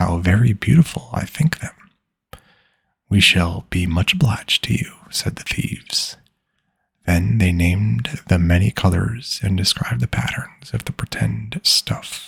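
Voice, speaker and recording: In a dry, close sound with no echo, a soft-spoken man uses a very deep, low pitch with vocal fry and very wide pitch swings. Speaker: ASMR storyteller. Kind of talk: bedtime story reading.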